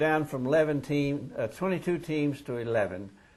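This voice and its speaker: Somewhat breathy and fairly high, a man's voice moves at a fairly slow pace with lively intonation. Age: 70s. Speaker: former high school basketball player-coach. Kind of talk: oral history interview.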